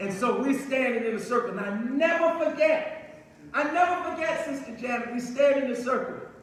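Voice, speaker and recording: A man's extremely high-pitched voice amid audible room echo and noticeable background noise. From Newark, New Jersey. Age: 60s. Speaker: community activist. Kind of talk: speech. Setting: city hall event with audience.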